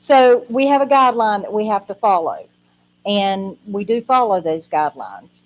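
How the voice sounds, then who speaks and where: A woman with a fairly high pitch talks in a normal speaking voice at a moderate pace, with ordinary pitch variation and a dry, close sound with no echo. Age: 60s. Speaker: social services adult protective evaluator. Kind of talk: informational presentation.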